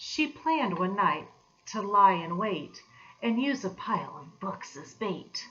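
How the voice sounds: Lively intonation shapes a natural reading voice.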